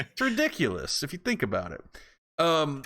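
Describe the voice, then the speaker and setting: Heard in a very clean recording with a silent background, a man's bright, sharp tone moves at a moderate pace. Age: 40s. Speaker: podcast co-host. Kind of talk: casual chat.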